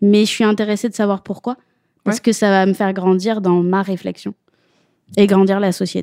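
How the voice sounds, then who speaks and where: A woman with a dark, mellow tone speaks in a monotone, flat way at a moderate pace with long, frequent pauses, the sound dry and close with no echo. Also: medium pitch for a woman. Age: 30s. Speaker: woman unable to have children sharing her story. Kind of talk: podcast interview.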